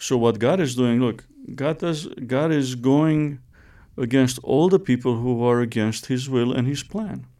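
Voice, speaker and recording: At a fairly slow pace, a man with a Romanian accent speaks at a medium pitch with ordinary pitch variation, in a very clean recording with a silent background. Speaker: theology professor. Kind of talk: testimony.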